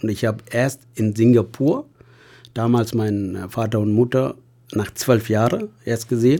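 At a fairly slow pace, a man with a Tamil accent speaks at medium pitch with ordinary pitch variation. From Sri Lanka, Tamil. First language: Tamil (speaking German). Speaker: hospital patient companion. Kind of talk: casual interview.

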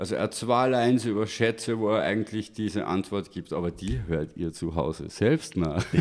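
With lively intonation, a man speaks at a moderate pace in a fairly low pitch. He leaves hardly any pauses. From Austria, Linz. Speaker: rapper. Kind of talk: casual chat. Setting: studio.

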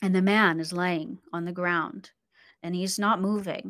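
The recording is very clean, with a silent background. A woman speaks at a fairly slow pace in a medium-pitched voice. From born in the Philippines, grew up in a US military family. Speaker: author and business owner. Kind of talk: interview.

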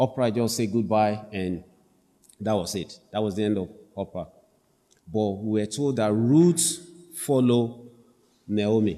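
This man talks at a fairly slow pace with a fairly low pitch and a dark, mellow tone. Long pauses come often. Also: ordinary pitch variation. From Africa. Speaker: preacher. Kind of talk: sermon. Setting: church.

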